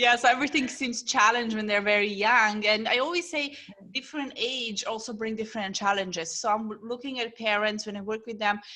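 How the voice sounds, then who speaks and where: In a plain, everyday voice, a woman speaks at a fairly quick pace and fairly high pitch, with ordinary pitch variation and hardly any pauses. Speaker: parenting coach. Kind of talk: podcast host interview.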